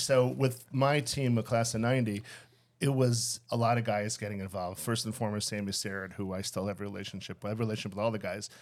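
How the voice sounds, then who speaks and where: A medium-pitched man's voice with an American accent, very fast in pace, with ordinary pitch variation, on a very clean recording with a silent background. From Chicago area (Skokie). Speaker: accountant. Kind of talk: casual interview.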